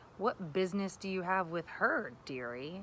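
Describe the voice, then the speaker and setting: A woman's growling, put-on character voice at a medium pitch, with lively intonation at a moderate pace over clear background noise. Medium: read story. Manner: curt, wary.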